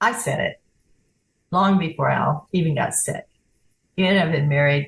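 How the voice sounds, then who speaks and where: Somewhat breathy, a woman speaks with a very deep, low pitch. Her pitch varies in an ordinary way. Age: 80s+. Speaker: author and poet, widow. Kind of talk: interview.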